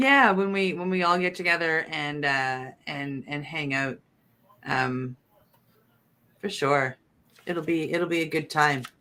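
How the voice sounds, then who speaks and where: With an East Coast accent, a woman uses a bright, sharp tone at a very deep, low pitch, moving at a fairly slow pace with long, frequent pauses. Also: ordinary pitch variation. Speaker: talk show co-host. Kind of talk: casual chat.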